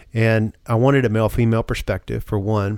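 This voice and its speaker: A fairly quick pace in a very clean recording with a silent background. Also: man. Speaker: founder of a therapeutic workshop center. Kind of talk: interview, personal testimony. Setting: studio. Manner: soft-spoken.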